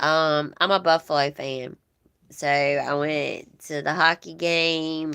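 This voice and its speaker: Speaking very slowly with a Southern US accent, a woman uses a very deep, low voice with a bright, sharp tone and monotone, flat intonation against a quiet background. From US South, Georgia. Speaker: livestream host. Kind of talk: casual chat with live viewers. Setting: livestream.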